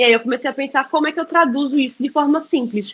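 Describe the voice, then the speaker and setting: A woman with a Pernambuco accent talks at a fairly quick pace and a high pitch. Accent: Pernambuco (northeastern Brazilian). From Brazil, Pernambuco (Recife). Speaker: journalist and content creator. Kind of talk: interview talk.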